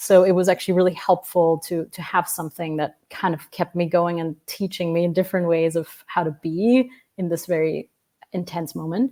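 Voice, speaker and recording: A woman's fairly low, dark and mellow voice with a non-native accent, at a moderate pace with fairly even intonation. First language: not English. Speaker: family constellation facilitator. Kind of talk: interview. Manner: hesitant, many fillers.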